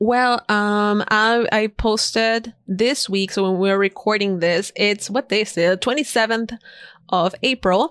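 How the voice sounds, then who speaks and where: With a Spanish accent, a woman speaks at a fairly slow pace with ordinary pitch variation, in a very clean recording with a silent background and a dry, close sound with no echo. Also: fairly high pitch for a woman, very even loudness. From Ecuador, Guayaquil. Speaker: designer and podcaster. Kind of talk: podcast interview.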